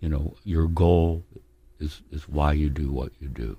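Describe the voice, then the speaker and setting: A man's very deep, low voice, somewhat breathy, with a dark, mellow tone, fairly even intonation and a very slow pace. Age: 70s. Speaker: veteran rock musician. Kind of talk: casual interview chat.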